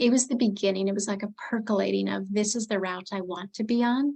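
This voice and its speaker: At a very fast pace, a woman speaks in a somewhat breathy, medium-pitched voice with fairly even intonation. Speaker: life coach. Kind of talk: interview.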